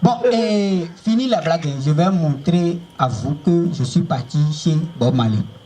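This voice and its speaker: A theatrical tone with lively intonation at a very slow pace, over noticeable background noise. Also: man, high pitch for a man. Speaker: stand-up comedian. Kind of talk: stand-up comedy show. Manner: loud, theatrical, joking with the audience.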